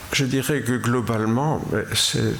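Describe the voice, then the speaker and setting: A man at a fairly slow pace with ordinary pitch variation, audible room echo and noticeable background noise. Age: 80s+. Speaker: preacher. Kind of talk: sermon. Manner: halting.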